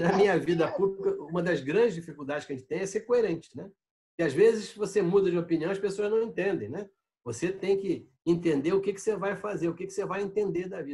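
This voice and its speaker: The delivery is very fast, with a dark, mellow tone. Pitch varies in an ordinary way while loudness swings widely. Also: man, high pitch for a man. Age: 70s. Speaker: city councillor and former federal deputy. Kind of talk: interview.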